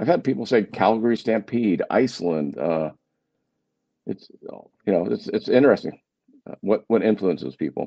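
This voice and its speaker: A man's voice with vocal fry, lively intonation, and long, frequent pauses. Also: fairly low pitch for a man, moderate pace. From Germany. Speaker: travel podcaster. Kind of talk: casual interview chat.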